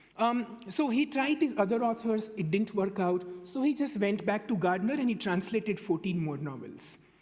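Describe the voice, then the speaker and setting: Over noticeable background noise, the speaker uses a Gujarati accent at a moderate pace. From India, Gujarat. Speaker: conference panelist. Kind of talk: conference talk. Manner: hesitant, with filler words and repetitions.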